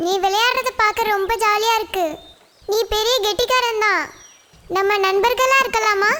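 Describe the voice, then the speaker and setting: In a cartoonish character voice, a woman speaks fairly slowly at an extremely high pitch, with ordinary pitch variation and very even loudness. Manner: gentle, warm.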